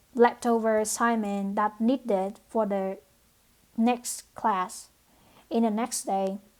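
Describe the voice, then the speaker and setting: Speaking very slowly with a non-native accent, a woman uses a fairly high pitch and fairly even intonation. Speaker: nursing program applicant. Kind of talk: application video monologue. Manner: halting, many fillers.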